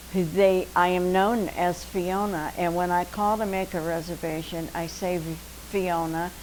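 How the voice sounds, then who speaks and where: Speaking at a fairly slow pace with an American accent, a woman uses a fairly low, monotone, flat delivery, with audible room echo around her. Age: 80s+. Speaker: retired dancer and actress. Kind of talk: interview.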